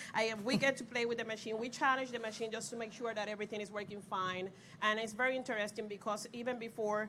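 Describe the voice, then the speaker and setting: Very fast and with monotone, flat intonation, a woman speaks in a fairly high pitch with a Puerto Rican accent. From Puerto Rico. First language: Spanish. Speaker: pharmaceutical equipment validation lead. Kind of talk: panel discussion. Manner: hesitant, many fillers.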